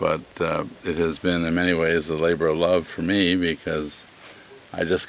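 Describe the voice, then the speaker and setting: Amid noticeable background noise, a man with an American accent speaks very deep and low in a monotone, flat delivery. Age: 60s. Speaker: inn owner. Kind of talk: interview. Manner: halting, many fillers.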